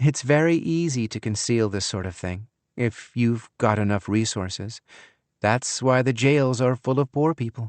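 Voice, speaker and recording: Using a breathy, put-on character voice, a man talks at a medium pitch and a moderate pace. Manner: light, airy and boastful; smugly proud.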